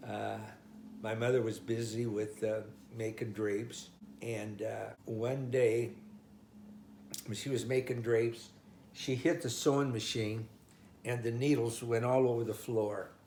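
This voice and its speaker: Speaking fairly slowly with an American accent, a man has a medium-pitched, dark, mellow, somewhat breathy voice and fairly even intonation. He leaves long, frequent pauses, and audible room echo surrounds him. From US Midwest, Omaha, Nebraska. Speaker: oral history interviewee. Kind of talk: life story interview. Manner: halting.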